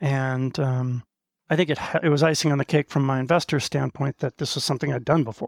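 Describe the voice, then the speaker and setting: Here a man with an American accent uses a normal speaking voice, pitched fairly high, with fairly even intonation. The recording is very clean with a silent background and a dry, close sound with no echo. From US Northeast, Maine. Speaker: business executive. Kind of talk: interview.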